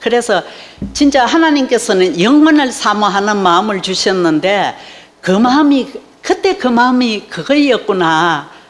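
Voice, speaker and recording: Amid noticeable background noise, a woman with a fairly high voice speaks very slowly, her pitch swinging very widely. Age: 70s. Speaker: church member giving testimony. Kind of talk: testimony.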